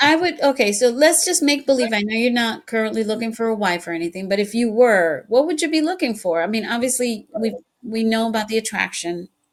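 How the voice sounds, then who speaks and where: A woman with a Spanish accent, fairly high-pitched, very fast and lively in intonation. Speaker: podcast host. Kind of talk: casual interview chat.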